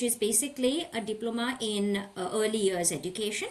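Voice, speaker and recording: At a moderate pace, a woman speaks in a fairly high pitch over noticeable background noise. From northern India (Parwanoo, Himachal; Gurgaon). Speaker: content creator. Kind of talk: podcast interview.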